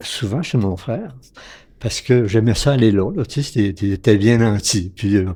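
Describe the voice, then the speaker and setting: A man speaks at a fairly slow pace in a medium pitch with ordinary pitch variation and a dark, mellow, somewhat breathy tone. The recording is very clean with a silent background. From Quebec, Lac-Saint-Jean region. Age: 80s+. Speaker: retired physician. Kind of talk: interview storytelling. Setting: at his home.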